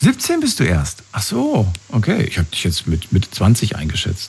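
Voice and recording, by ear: A man with a husky, rough edge and vocal fry talks at a moderate pace in a fairly low voice that swings very widely in pitch.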